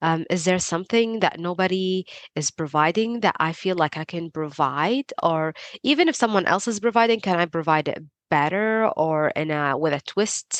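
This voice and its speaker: A woman with a non-native accent speaks at a fairly low pitch. Her intonation is lively against a quiet background. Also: moderate pace, dry, close sound with no echo. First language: not English. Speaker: PhD researcher and Substack writer. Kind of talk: podcast interview.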